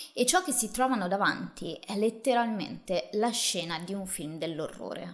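A woman speaks in a serious tone at medium pitch. Her pace is moderate with hardly any pauses, and the background is quiet. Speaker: true crime host. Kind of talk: true-crime narration, solo monologue to camera. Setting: video channel, solo presenter. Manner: measured, serious storyteller pacing with emphatic asides; casual, chatty, addressing viewers directly. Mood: serious, dramatic storytelling. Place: home room. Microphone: studio mic.

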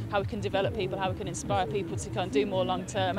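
Clear music in the background and a dry sound with no echo. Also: woman. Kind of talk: interview answer. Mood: upbeat, happy. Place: stadium.

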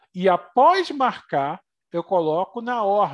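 A man's voice rises and falls in a lively way, and the background stays quiet. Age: 40s. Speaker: geotechnology instructor. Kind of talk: software tutorial workshop. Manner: casual, conversational. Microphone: headset.

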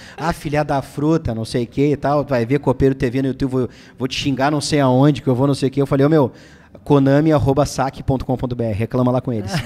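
Medium pitch from a man, delivered at a fairly quick pace. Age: 20s. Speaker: football channel host. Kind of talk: casual live stream chat about football. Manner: animated. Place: studio. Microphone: studio mic.

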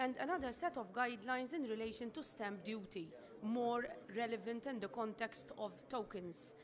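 A woman talks at a moderate pace in a fairly high voice with ordinary pitch variation over noticeable background noise. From Malta. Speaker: tax advisor; presenter. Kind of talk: conference talk. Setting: stage with audience. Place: meeting room. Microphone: podium.

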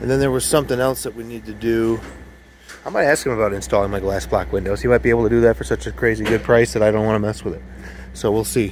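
Speaking at a very fast pace, a man is heard over light background noise in a dry recording with no echo. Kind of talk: casual vlog chat. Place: garden. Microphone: phone near.

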